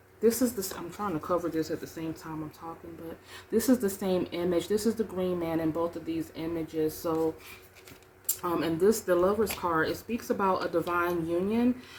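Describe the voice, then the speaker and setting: The speech moves at a moderate pace with ordinary pitch variation. Loudness swings widely, and background noise is noticeable. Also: woman, fairly low pitch for a woman. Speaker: tarot reader. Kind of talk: tarot reading monologue. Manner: halting, many fillers.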